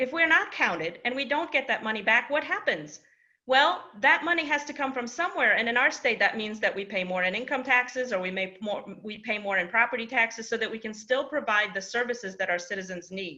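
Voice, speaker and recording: A woman speaks at a fairly quick pace with hardly any pauses, her pitch fairly high. Her tone is bright and sharp, and her intonation is lively. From Poland. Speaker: state politician. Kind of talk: public speech at panel event.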